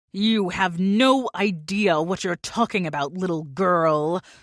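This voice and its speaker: On a very clean recording with a silent background, a put-on character voice speaks fairly slowly at a middle pitch. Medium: read story. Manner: cold, menacing.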